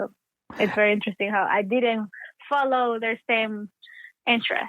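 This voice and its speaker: A woman with an Ecuadorian accent, fairly high in pitch, at a moderate pace with fairly even intonation. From Ecuador, Guayaquil. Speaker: actor and playwright. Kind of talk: interview.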